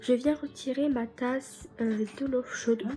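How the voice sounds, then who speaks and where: A woman's high-pitched voice at a fairly slow pace, fairly even in intonation, over noticeable background noise. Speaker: DIY youtuber. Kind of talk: tutorial. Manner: casual, hesitant with many fillers.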